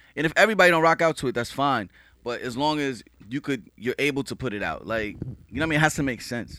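In a New York accent, a man talks at a very fast pace with a fairly high pitch, lively intonation, and a bright, sharp tone on a very clean recording with a silent background. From Queens, New York, Haitian family. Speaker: music producer and engineer. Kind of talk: casual chat.

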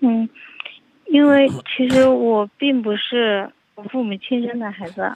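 A woman with a high pitch speaks at a very slow pace with long, frequent pauses, fairly even intonation and big swings in loudness. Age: 20s. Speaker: caller on a relationship advice show. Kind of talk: phone-in conversation.

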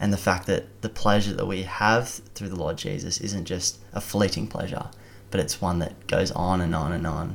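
A man speaks with an Australian accent at a moderate pace. His pitch is very deep and low, with fairly even intonation. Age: 20s. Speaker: university student and lay preacher. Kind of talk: testimony.

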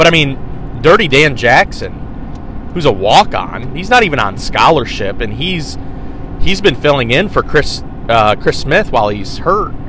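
A man's fairly high voice in an American accent, very wide pitch swings, audible room echo and noticeable background noise. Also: moderate pace. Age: 30s. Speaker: sports podcast host. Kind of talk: solo sports commentary podcast.

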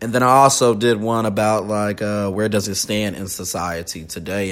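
At a moderate pace comes a normal speaking voice. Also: man. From US South. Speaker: podcast host. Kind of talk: casual chat.

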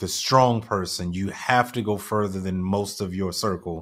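Here is a man with an unremarkable speaking voice. His pitch is fairly low, with ordinary variation. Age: 30s. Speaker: business coach and podcast president. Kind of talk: interview. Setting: live online show.

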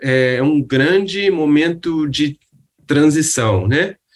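At a very slow pace, a man speaks with fairly high pitch and lively intonation. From Rio de Janeiro, Brazil. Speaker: architect and urban planner. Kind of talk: casual interview. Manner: halting, many fillers.

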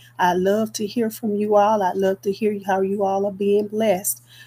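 Speaking fairly slowly, a woman has a medium-pitched, somewhat breathy voice with a dark, mellow tone. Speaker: evangelist podcast host. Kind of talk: devotional podcast sign-off. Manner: halting with fillers.

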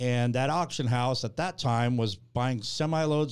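The voice is a plain, everyday voice with ordinary pitch variation at a moderate pace. The recording is very clean, with a silent background. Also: man. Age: 50s. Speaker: tool store owner. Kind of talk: interview.

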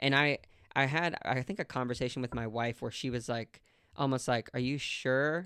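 This is a man with a plain, everyday voice. He speaks at a fairly quick pace with fairly even intonation. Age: 30s. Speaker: podcast host. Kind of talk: casual interview chat.

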